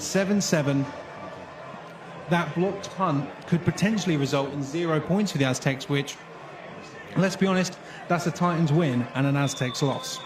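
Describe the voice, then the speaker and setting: Over noticeable background noise, a man with a fairly high pitch speaks at a moderate pace, leaving long, frequent pauses. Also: ordinary pitch variation. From British. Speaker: sports commentator. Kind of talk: live sports play-by-play commentary.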